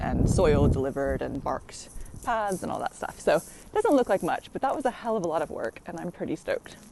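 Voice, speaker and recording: A woman with an American accent talking at a very fast pace, over noticeable background noise. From United States. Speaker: allotment vlogger. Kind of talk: casual vlog tour. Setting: outdoors in the rain. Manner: chatty, lots of fillers.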